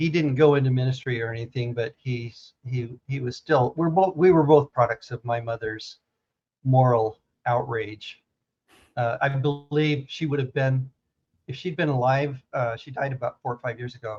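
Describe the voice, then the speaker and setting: A man's voice, somewhat breathy, keeps a fairly even intonation. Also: medium pitch for a man, moderate pace. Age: 70s. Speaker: storyteller and former evangelical. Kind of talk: podcast interview. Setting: podcast recording. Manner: halting.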